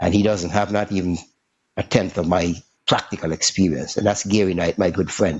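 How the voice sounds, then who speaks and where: Intonation stays fairly even throughout. The man's pitch is very deep and low. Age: 60s. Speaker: musician and music educator. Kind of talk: interview.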